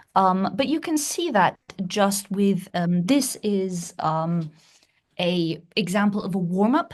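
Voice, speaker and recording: Speaking very slowly, a woman with a medium pitch sounds somewhat breathy. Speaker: music professor and pansori performer. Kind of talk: academic lecture.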